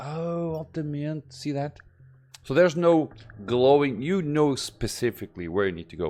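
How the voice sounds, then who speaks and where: At a moderate pace, a man with a dark, mellow, fairly high voice speaks with lively intonation. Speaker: gaming YouTuber. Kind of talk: gameplay commentary. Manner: halting, stuttering; reads tutorial text aloud.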